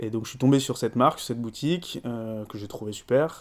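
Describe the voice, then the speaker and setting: A man with a medium pitch talks fairly quickly, his pitch varying in an ordinary way. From France. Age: 30s. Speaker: coffee shop owner. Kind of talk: interview. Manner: hesitant with fillers.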